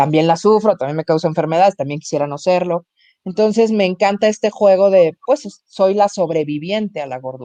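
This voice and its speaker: A woman with a dark, mellow tone speaks fairly quickly with lively intonation, recorded dry and close with no echo. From Mexico. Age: 40s. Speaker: comedian. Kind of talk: interview.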